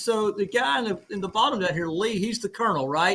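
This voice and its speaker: A man's high-pitched voice, bright and sharp in tone, with an Alabama accent. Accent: Southern US (Alabama). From Alabama, US South. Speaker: veteran, livestream host. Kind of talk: casual chat.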